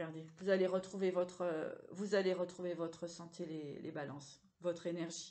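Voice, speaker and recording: A woman's fairly low, dark and mellow voice, flat and monotone, at a moderate pace. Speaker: psychic tarot card reader. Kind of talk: tarot reading for viewers. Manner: hesitant, repeating words.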